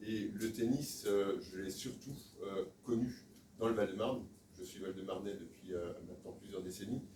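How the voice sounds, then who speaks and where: Speech comes at a fairly slow pace with fairly even intonation and audible room echo. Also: man, fairly low pitch for a man. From Alsace, France. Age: 60s. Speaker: sports federation official, election candidate. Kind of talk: campaign speech at meeting. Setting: meeting room with audience, filmed. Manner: hesitant, many filler sounds.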